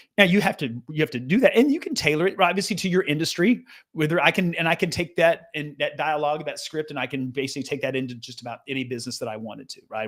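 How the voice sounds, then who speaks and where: Racing along at a very fast pace, a man talks with lively intonation at a fairly high pitch. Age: 60s. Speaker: sales coach and author. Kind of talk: tutorial. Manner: animated.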